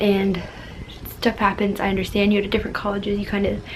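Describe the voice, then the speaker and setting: A woman speaks at a medium pitch. Noticeable background noise is present. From Florida. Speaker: lifestyle vlogger. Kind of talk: casual advice vlog. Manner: fast; animated.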